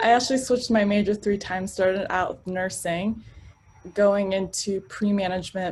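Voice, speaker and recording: Somewhat breathy, a woman's medium-pitched voice moves at a moderate pace with fairly even intonation. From Arlington, Virginia, US (immigrated as a child). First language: not English (immigrant family). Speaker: sales professional. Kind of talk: interview.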